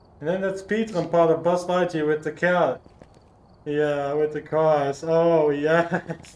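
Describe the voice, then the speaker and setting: A man's fairly high pitch at a fairly slow pace. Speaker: gaming streamer. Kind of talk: casual livestream gameplay chat. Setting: livestream with friends on voice chat. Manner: animated.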